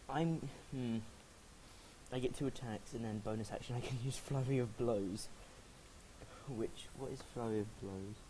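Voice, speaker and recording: A man with a medium pitch speaks at a moderate pace in fairly even intonation, his dark, mellow tone somewhat breathy. Long, frequent pauses break up his speech, and audible room echo surrounds it. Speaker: tabletop game player. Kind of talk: casual tabletop gameplay. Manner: halting, self-correcting.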